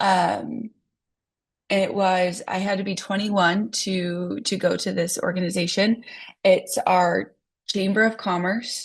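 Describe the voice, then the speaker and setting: Speaking at a very slow pace, a woman with an American accent and a medium pitch uses a monotone, flat intonation with vocal fry. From US Midwest, South Dakota. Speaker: real estate agent. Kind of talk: online training talk. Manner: casual with many fillers.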